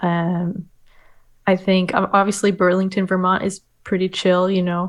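This woman has a normal speaking voice with an American accent. Her pitch is medium and her pace moderate. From Oregon. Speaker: documentary filmmaker. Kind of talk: casual chat.

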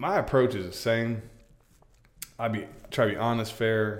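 In an American accent, a man of medium pitch speaks at a moderate pace in a monotone, flat delivery, with long, frequent pauses and audible room echo. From Florida, Polk County. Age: 30s. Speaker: real estate agent. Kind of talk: casual interview. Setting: studio.

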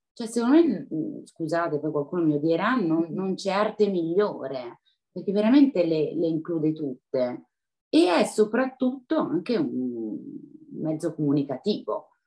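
A woman's fairly low voice with very wide pitch swings, a dark, mellow tone and a fairly slow pace. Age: 40s. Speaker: professional dancer and dance teacher. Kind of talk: interview. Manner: animated.

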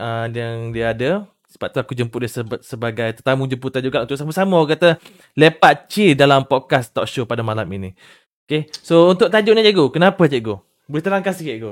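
Lively intonation and a fairly quick pace mark an ordinary speaking voice. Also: man. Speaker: livestream host. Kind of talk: casual talk show livestream. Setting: online livestream.

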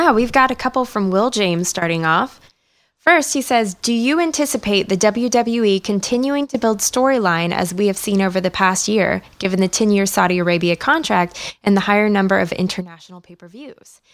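A woman talks in a normal speaking voice at medium pitch and moderate pace, her intonation lively and her loudness swinging widely. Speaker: wrestling podcast guest. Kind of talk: casual chat.

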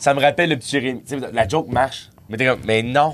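A man with a Quebec accent, medium-pitched, with ordinary pitch variation. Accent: Québécois French. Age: 30s. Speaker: comedian. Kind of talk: casual chat.

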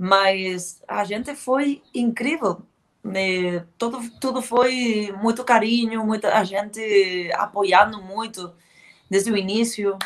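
With ordinary pitch variation, a woman speaks very slowly. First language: Spanish or Galician (speaking Portuguese). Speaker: heavy metal band vocalist. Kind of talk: interview. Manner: halting.

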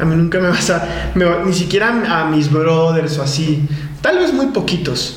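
There is noticeable background noise and audible room echo as a man speaks at a fairly slow pace. His high-pitched voice moves in very wide pitch swings. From Colombia. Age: 20s. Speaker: bodybuilding competitor and fitness coach. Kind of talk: casual interview chat.

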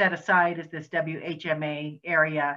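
A woman's very deep, low voice with a Western US accent, very slow and monotone with flat intonation. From Wyoming, Laramie. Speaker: nonprofit executive director. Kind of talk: interview. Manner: halting, frequent um.

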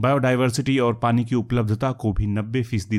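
In a very clean recording with a silent background, a man speaks at medium pitch and a moderate pace. He has an unremarkable speaking voice. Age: 50s. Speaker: journalist narrator. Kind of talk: scripted narration.

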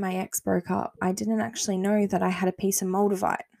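A woman speaks at a medium pitch with a dry, close sound and no echo. The recording is very clean, and the background is silent. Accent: Australian. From Australia. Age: 20s. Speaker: podcast host. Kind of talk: casual solo monologue.

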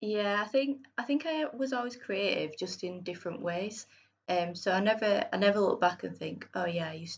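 A woman speaks with a Yorkshire accent at a medium pitch. Her intonation is lively and her pace fairly quick. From northern England, Bradford. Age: 30s. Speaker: freelance illustrator and graphic designer. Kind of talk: casual interview chat.

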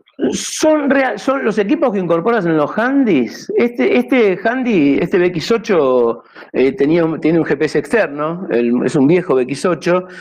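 Over noticeable background noise, the voice goes at a very slow pace with hardly any pauses, very even loudness and very wide pitch swings. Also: man, high pitch for a man. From Argentina. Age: 60s. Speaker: amateur radio operator. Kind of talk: talk with slides. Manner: halting, repetitive.

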